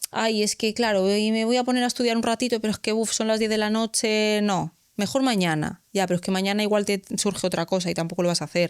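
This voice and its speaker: With a Galician accent, a woman speaks at a very fast pace with hardly any pauses, fairly high in pitch and very even in loudness. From Galicia, Spain. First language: Galician (speaking Spanish). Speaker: civil servant in the justice system. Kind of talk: podcast interview. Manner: animated.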